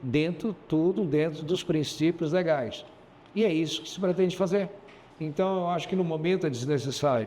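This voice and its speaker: High in pitch, a man talks at a moderate pace with ordinary pitch variation. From Goiás, central Brazil. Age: 60s. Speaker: businessman and mayoral candidate. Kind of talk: interview.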